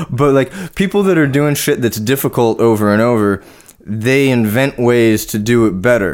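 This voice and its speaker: Here a man talks with a Californian accent at a medium pitch and moderate pace. His intonation is lively and his loudness very even. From Orange County, California. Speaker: metal artist and podcast co-host. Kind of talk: casual chat.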